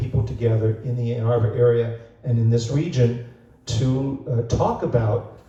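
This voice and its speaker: Noticeable background noise and an audible room echo accompany speech delivered at a moderate pace. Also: man. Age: 70s. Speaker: bookstore owner and event host. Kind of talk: event introduction. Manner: halting, many fillers.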